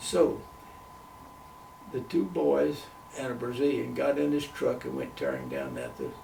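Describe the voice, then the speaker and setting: A man with an American accent speaks at a fairly slow pace. Noticeable background noise and audible room echo accompany him. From US South. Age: 90s. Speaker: retired missionary. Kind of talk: interview.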